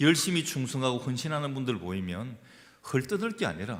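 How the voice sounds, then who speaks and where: A man's medium-pitched voice carries vocal fry and very wide pitch swings. He talks at a moderate pace amid audible room echo. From Gyeongsang region, South Korea. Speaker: pastor. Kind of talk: sermon. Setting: church.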